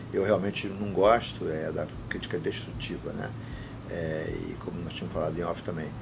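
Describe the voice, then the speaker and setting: A man speaks at a moderate pace with a very deep, low pitch. Noticeable background noise and audible room echo are present. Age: 60s. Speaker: former football club president. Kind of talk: interview. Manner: animated.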